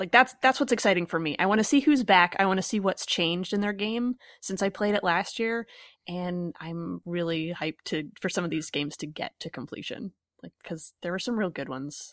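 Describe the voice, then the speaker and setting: A woman's medium-pitched, ordinary speaking voice, fairly quick, with lively intonation and big swings in loudness, dry and close with no echo against a quiet background. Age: 30s. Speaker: podcast host. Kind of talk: casual chat.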